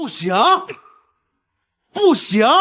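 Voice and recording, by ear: Using a put-on character voice, a man speaks at a very slow pace with high pitch, very wide pitch swings and a slightly husky edge.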